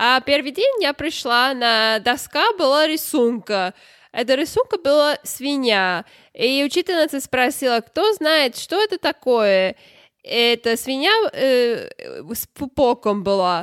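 In a non-native accent, a woman reads at a very slow pace with a high pitch and very wide pitch swings, the sound dry and close with no echo on a very clean recording with a silent background. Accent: non-native Russian. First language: not Russian (learned Russian at university) (speaking Russian). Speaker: podcast co-host. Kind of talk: casual chat.

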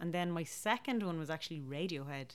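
In a very clean recording with a silent background, a woman with a Dublin accent talks at a moderate pace in a very deep, low pitch. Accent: Dublin Irish. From Ireland, Dublin. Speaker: folk musician. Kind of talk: casual chat. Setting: home kitchen.

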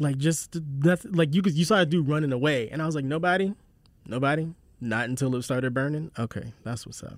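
On a very clean recording with a silent background, a man with an American accent talks at a fairly quick pace in an ordinary speaking voice, fairly high pitched with ordinary pitch variation. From South Carolina, Charleston. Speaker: podcast host, writer and voice actor. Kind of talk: casual chat.

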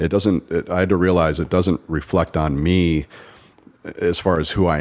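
A man's very deep, low voice with vocal fry and fairly even intonation. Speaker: guest sharing marriage story. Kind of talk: casual interview.

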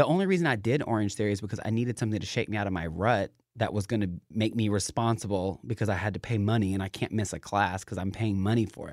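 Over a silent background in a very clean recording, a man with an American accent speaks very fast at a fairly low pitch, his tone animated and passionate, with ordinary pitch variation. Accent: Southern US, toned down. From Knoxville, Tennessee. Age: 20s. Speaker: aspiring YouTuber and fitness vlogger. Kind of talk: casual chat. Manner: animated, passionate, talkative.

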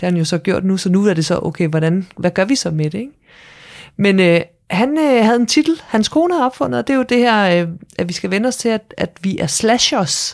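A woman's pitch swings very widely. The recording is very clean, with a silent background. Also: medium pitch for a woman, moderate pace. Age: 40s. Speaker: entrepreneur. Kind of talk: casual chat.

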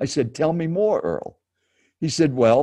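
With a dark, mellow tone and vocal fry, a man speaks on a very clean recording with a silent background. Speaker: professional speaker and speaking coach. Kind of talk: interview storytelling. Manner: animated.

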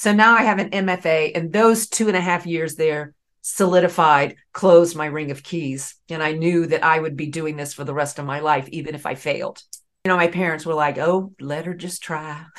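A woman's fairly low voice, with fairly even intonation and a moderate pace. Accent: slight Southern US. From US South, Raleigh, North Carolina. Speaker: Broadway actress. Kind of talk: casual chat.

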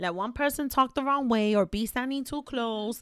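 A woman with a New York accent speaks at a fairly quick pace in a high voice, her pitch varying in an ordinary way, recorded dry and close with no echo on a very clean track with a silent background. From New York City. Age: 30s. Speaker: podcast host, single mother. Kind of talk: casual chat.

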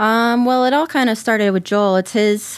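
The recording is very clean and the background silent. A woman with an American accent talks, her pitch shifting in an ordinary way. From US South, Georgia. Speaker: cannabis grower. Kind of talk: casual chat. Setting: studio.

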